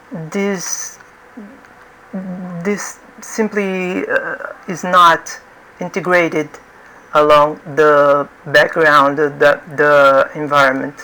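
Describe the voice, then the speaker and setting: Very slow speech with long, frequent pauses comes in a non-native accent over noticeable background noise. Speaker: 3D art instructor. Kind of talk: tutorial. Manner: halting, many fillers and repetitions.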